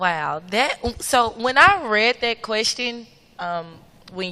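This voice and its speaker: A woman with a slight Memphis accent speaks at a very slow pace. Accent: Southern (Memphis), slight. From US South, Memphis, Tennessee. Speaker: student government president, panelist. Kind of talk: panel discussion.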